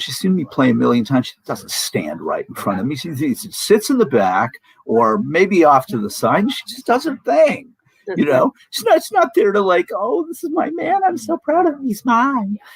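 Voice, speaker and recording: Big swings in loudness mark a man's moderate-paced speech, recorded with a dry, close sound and no echo. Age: 60s. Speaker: musician, political commentator. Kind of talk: casual chat.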